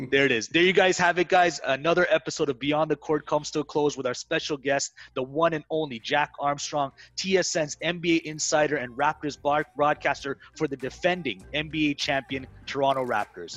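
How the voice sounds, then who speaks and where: A plain, everyday voice speaks at a moderate pace with hardly any pauses and fairly even intonation. The sound is dry and close with no echo, over a quiet background. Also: man, fairly high pitch for a man. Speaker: podcast host. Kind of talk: casual interview chat.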